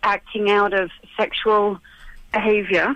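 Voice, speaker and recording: A woman talks in a British accent with a fairly high pitch. Her pace is fairly slow. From UK. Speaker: therapist. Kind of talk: radio interview.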